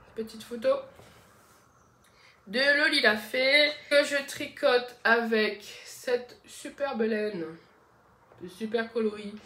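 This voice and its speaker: Noticeable background noise surrounds a woman whose voice is fairly high, with ordinary pitch variation. She speaks very slowly, leaving long, frequent pauses. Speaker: knitting podcaster. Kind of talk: casual podcast monologue. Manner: hesitant, many fillers.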